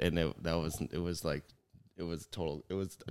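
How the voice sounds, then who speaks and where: A man's very deep, low voice with vocal fry at a moderate pace. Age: 30s. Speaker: podcast co-host and jiu jitsu academy owner. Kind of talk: casual chat. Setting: studio with headphones and mics. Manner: louder than co-host.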